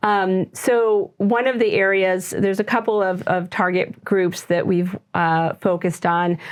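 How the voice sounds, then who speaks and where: A woman speaks in a plain, everyday voice at a medium pitch, with hardly any pauses. Her loudness stays very even and her intonation fairly even. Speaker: physician running a TMS mental health clinic. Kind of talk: interview.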